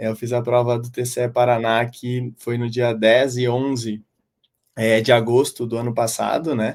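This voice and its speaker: In a southern Brazilian accent, a medium-pitched man speaks at a fairly slow pace with monotone, flat intonation. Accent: gaúcho. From southern Brazil, Porto Alegre. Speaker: civil engineer, public auditor and exam-prep teacher. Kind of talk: interview.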